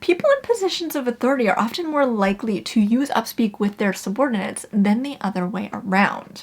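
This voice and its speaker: A woman's fairly high voice with lively intonation and hardly any pauses, over noticeable background noise. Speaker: communication educator, video essayist. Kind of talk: explainer video.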